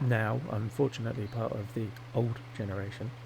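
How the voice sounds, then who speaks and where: A man's somewhat breathy, medium-pitched voice at a fairly slow pace, with audible room echo. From England, Devon. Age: 40s. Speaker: gaming youtuber. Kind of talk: casual gameplay commentary. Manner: rambling, hesitant with many fillers.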